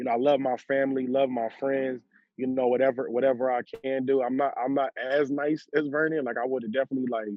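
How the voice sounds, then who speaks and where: This speaker has an American accent and a very fast pace. The intonation is monotone and flat. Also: man, medium pitch for a man. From Washington DC area. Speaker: actor and former college football player. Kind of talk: casual interview chat. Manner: halting, many repetitions and restarts.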